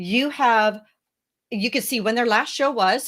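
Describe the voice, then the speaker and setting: A woman's plain, everyday voice, fairly high in pitch, with lively intonation at a moderate pace. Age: 60s. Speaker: founder of a speaker and podcast guest booking agency. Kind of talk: interview. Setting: podcast interview.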